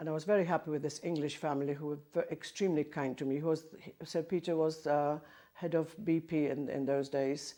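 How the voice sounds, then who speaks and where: Speaking with a Polish accent, a woman uses a very deep, low, dark and mellow voice at a fairly quick pace. Her intonation stays monotone and flat. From southern Poland, Bielsko-Biała. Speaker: choir conductor and Polish emigrant. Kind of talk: oral history interview. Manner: halting.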